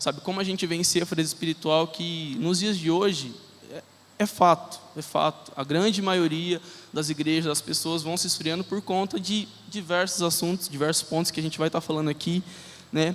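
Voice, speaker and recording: His intonation fairly even, a man talks in a high-pitched voice. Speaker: lay preacher. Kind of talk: sermon. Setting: church with congregation. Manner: fast.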